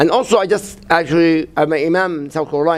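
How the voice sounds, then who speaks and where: Speaking at a fairly quick pace, a man with a Palestinian accent has a high pitch. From Gaza, Palestine. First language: Arabic. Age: 60s. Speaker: imam. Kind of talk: interview. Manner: halting.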